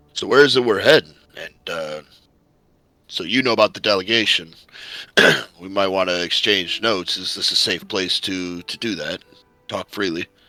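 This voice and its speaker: Putting on a raspy character voice, a man talks at a moderate pace and a fairly low pitch, with long, frequent pauses. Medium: actual play. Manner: hearty, warm.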